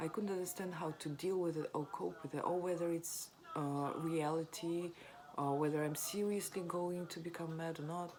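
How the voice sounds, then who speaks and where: Over noticeable background noise, a woman with a strong non-native accent speaks at a fairly slow pace in a very deep, low pitch with fairly even intonation. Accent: non-native accent, self-described as strong. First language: not English. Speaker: vlogger sharing recovery story. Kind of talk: personal testimony. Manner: hesitant, many fillers.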